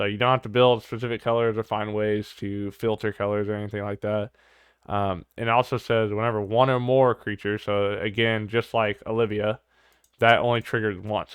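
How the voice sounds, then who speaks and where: Speech comes at a fairly quick pace with monotone, flat intonation. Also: man, fairly low pitch for a man. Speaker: YouTuber reviewing card games. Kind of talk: casual review vlog. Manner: stuttering, many fillers.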